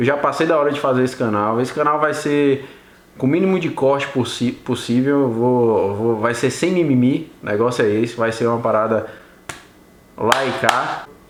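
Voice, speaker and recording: Over noticeable background noise and audible room echo, a man of medium pitch speaks in an animated tone at a moderate pace, with ordinary pitch variation and very even loudness. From Brazil, Bahia (Vitória da Conquista). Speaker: YouTuber, Brazilian immigrant. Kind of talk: casual vlog storytelling. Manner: casual, animated.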